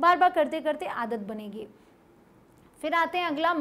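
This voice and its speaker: Her high voice has an animated tone and lively intonation. The woman keeps a moderate pace. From India. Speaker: English teacher. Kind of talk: tutorial. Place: studio.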